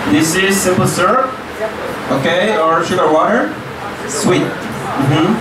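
Loud background noise and audible room echo fill the recording. A man speaks at a fairly slow pace with long, frequent pauses. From Mexico. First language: Spanish. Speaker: cooking class instructor. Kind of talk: cooking class demonstration. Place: hall.

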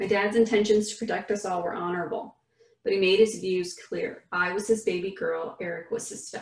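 Ordinary pitch variation in a natural reading voice, with a quiet background

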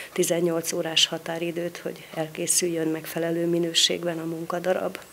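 Noticeable background noise runs under the voice. The intonation stays monotone and flat. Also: woman. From Hungary. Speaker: vocational school official. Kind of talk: interview. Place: office. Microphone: handheld.

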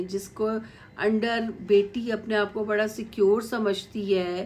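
A woman speaks very slowly in a fairly high voice. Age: middle-aged. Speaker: YouTube commentator. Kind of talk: video commentary monologue. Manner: animated. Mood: critical, mocking. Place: home room. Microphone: phone near.

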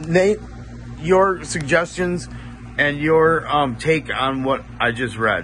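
A man with a fairly high pitch speaks at a very slow pace with lively intonation. Noticeable background noise runs underneath. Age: 40s. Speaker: spiritual content creator. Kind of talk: reading aloud. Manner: halting.

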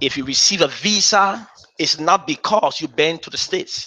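A man at a fairly slow pace, with ordinary pitch variation. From Liberia. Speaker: bishop. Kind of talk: sermon. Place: church.

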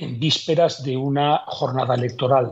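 Somewhat breathy, a man speaks at a fairly slow pace. His intonation is fairly even, and the background is quiet. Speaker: legal commentator. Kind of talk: interview answer. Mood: critical, measured. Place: home room. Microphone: earbuds.

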